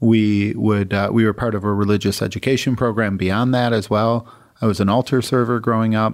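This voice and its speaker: Speaking at a fairly quick pace, a man with a fairly low pitch keeps a monotone, flat intonation and very even loudness. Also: very clean recording, silent background. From Michigan, US. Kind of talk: interview.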